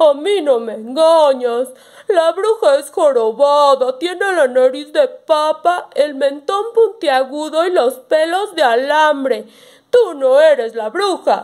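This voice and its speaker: Using a put-on character voice, a woman talks at a fairly slow pace with a high pitch. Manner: brusque, suspicious.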